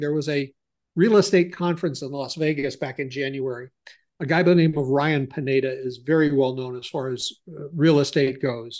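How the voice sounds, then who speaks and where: With an American accent and a normal speaking voice, a man talks at a fairly high pitch and fairly quick pace, showing ordinary pitch variation and big swings in loudness against a quiet background. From US Midwest, Ohio. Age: 60s. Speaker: business consultant. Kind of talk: interview, conversational.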